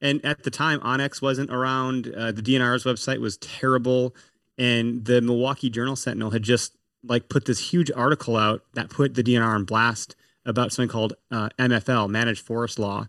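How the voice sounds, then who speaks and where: A man with an unremarkable speaking voice talks in an American accent at medium pitch and a fairly quick pace, with fairly even intonation. The background is quiet, and the sound is dry and close with no echo. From Wisconsin. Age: 30s. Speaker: hunting podcaster. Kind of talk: casual chat. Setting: video call.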